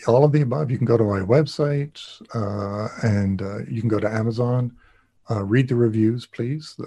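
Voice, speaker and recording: A dark, mellow, somewhat breathy voice with a Canadian accent. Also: man. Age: 50s. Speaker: pastor and near death experiencer. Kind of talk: interview conversation. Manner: halting, many fillers.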